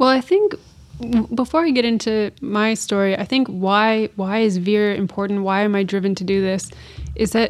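A woman with a Canadian accent has a normal speaking voice at medium pitch and a moderate pace. Her intonation is fairly even, and the recording is very clean with a silent background. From Canada, Great Lakes region (near Kingston, Ontario). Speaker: startup CEO and sailor. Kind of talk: interview. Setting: at a conference.

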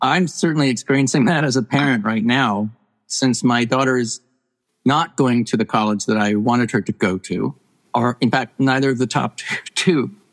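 Using an ordinary speaking voice, a man with a medium pitch talks at a moderate pace with ordinary pitch variation and very even loudness, in a dry, close sound with no echo. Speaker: professor and author. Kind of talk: casual interview conversation.

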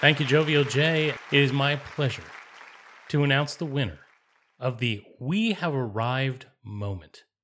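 A man's fairly high voice at a fairly slow pace, long and frequent pauses, ordinary pitch variation, and crowd noise in the background. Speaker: podcast host. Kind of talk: comedic banter, awards show.

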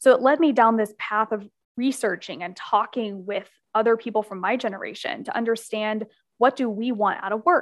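A woman with an American accent and an unremarkable speaking voice talks at a moderate pace, her fairly high pitch showing ordinary variation over a quiet background. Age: 20s. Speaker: business consultant and author. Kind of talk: podcast interview.

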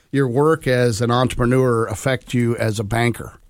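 This man's voice sits at a mid-range pitch. He talks with an American accent. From US Midwest, Grove City, Ohio. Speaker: podcast host and bank CEO. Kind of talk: casual interview. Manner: halting, many fillers.

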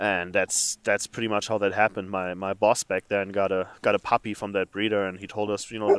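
In a very clean recording with a silent background and a dry, close sound with no echo, a man with a German accent talks at a fairly quick pace in a monotone, flat intonation at a fairly low pitch. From Germany. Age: 30s. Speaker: flour milling engineer, new hunter. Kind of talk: interview.

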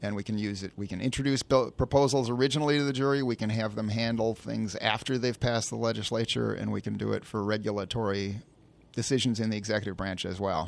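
Here a man talks at a very fast pace with an American accent. His pitch sits fairly low and his intonation stays fairly even. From Chicago suburbs, Illinois. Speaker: political candidate. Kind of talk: interview. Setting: studio.

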